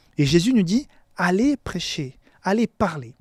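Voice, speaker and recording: A man with a non-native accent, high-pitched for a man, with very wide pitch swings at a fairly slow pace, on a very clean recording with a silent background and a dry, close sound with no echo. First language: not French (speaking French). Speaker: pastor. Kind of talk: Bible lesson sermon. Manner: halting, frequent repetitions.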